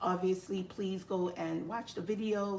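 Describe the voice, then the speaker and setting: Over noticeable background noise, a woman with a Nigerian accent and medium pitch speaks in a monotone, flat intonation. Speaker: live streamer and health IT educator. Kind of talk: casual live stream chat. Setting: live stream at home.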